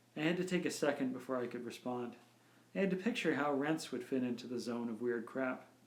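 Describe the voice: Reading aloud, plainly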